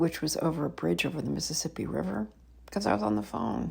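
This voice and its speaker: A woman's voice with very wide pitch swings and vocal fry. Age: 60s. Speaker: travel vlogger. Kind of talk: casual talk to camera.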